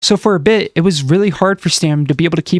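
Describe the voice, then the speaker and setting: The sound is close and dry, without echo. Words come very fast from a man. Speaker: commentary YouTuber. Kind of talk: scripted commentary video. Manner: slurred words.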